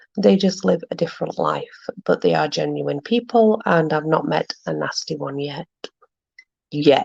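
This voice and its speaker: A woman talks at a fairly slow pace with a South Yorkshire accent. The sound is dry and close, without echo. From South Yorkshire, Barnsley. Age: 30s. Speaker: livestream host. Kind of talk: casual chat.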